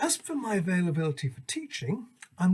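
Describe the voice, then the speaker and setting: A man's somewhat breathy voice with lively intonation at a moderate pace. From northwest England. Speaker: English language teacher. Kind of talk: self-introduction presentation. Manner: formal.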